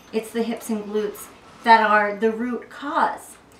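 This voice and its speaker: A woman speaks with a fairly high pitch in an American accent. There is audible room echo and light background noise. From US South, South Carolina. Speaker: fitness instructor. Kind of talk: tutorial. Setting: at home, family room. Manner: casual, chatty. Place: home room. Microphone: camera far.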